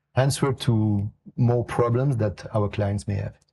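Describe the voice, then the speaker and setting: A somewhat breathy man with a fairly low pitch and dark, mellow tone, speaking at a fairly slow pace with fairly even intonation against a quiet background. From Italy. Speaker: investment executive. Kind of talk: podcast interview. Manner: hesitant, many fillers.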